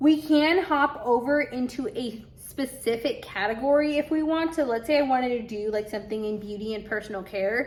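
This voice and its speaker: A woman with a high pitch talks at a fairly quick pace and leaves hardly any pauses. Her pitch variation is ordinary. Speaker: Amazon seller and YouTube tutorial creator. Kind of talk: screen-share tutorial.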